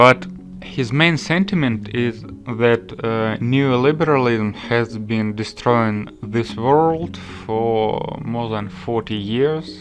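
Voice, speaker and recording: A man talks with a non-native accent. His pace is very slow. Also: medium pitch for a man, ordinary pitch variation. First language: Russian. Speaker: political commentator. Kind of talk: vlog monologue. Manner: casual, filler-heavy.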